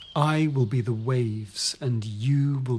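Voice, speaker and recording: A somewhat breathy, medium-pitched male voice with fairly even intonation. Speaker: author. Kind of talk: audiobook reading.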